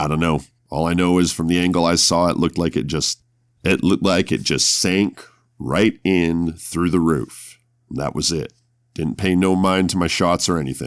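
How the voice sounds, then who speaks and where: In a put-on character voice, a man sounds raspy and very deep, with fairly even intonation at a moderate pace on a very clean recording with a silent background. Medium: actual play. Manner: blunt, clipped, plainspoken.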